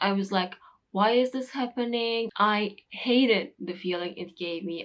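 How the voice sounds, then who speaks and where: This is a woman speaking. She talks in a Turkish accent. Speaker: English teacher youtuber. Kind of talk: vlog talk to camera.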